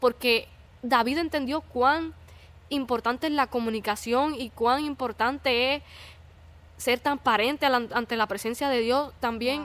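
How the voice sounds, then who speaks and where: In a very clean recording with a silent background, a woman with a Puerto Rican accent speaks at a fairly slow pace in a high pitch. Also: fairly even intonation. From Puerto Rico. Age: 20s. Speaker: church youth podcast host. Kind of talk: casual faith chat.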